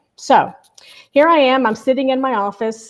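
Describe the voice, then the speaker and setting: The woman talks at a moderate pace. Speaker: marketing consultant and show host. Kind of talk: live webcast talk. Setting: live online broadcast. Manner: conversational storytelling.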